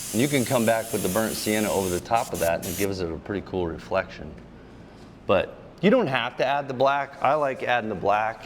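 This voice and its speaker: Energetic in tone, a man speaks with ordinary pitch variation. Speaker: custom car painter. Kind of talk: tutorial. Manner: casual, energetic.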